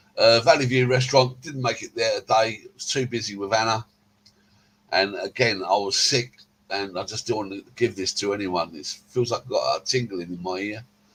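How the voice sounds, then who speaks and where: Speaking with an English accent, a man uses a medium pitch. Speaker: vlogger. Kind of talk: casual vlog narration. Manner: hesitant.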